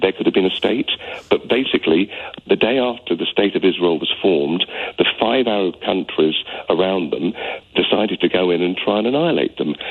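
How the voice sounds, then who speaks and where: A man with a British accent talks at a fairly quick pace with lively intonation and a fairly low pitch. Noticeable background noise sits behind him. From UK. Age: 60s. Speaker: caller. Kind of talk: radio phone-in call. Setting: phone call. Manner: heartfelt; halting.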